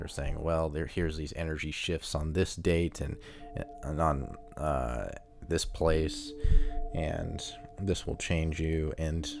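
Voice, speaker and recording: Music plays behind a man with a very deep, low pitch. He speaks at a very slow pace with fairly even intonation. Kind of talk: casual talk to camera. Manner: casual, conversational, skeptical.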